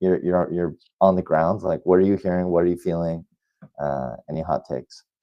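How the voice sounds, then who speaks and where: A man with an American accent speaks fairly quickly in a very deep, low pitch. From United States. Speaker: podcast host. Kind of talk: podcast interview. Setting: livestream.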